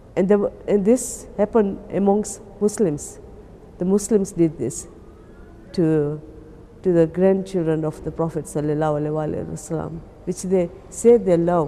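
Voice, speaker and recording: This woman speaks at a fairly slow pace, her fairly low pitch moving with ordinary variation. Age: 60s. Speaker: pilgrim. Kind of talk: testimony. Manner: halting.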